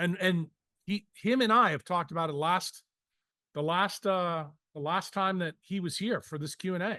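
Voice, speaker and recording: The background is quiet. A man speaks in an animated tone at a high pitch. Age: 60s. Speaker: physician and health educator. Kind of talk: Q and A session with members. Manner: blunt.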